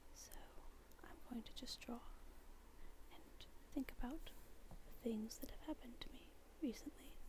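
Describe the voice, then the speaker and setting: A soft-spoken, gentle voice at a fairly slow pace, broken by long, frequent pauses. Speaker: university student. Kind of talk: soft-spoken ASMR talk while drawing.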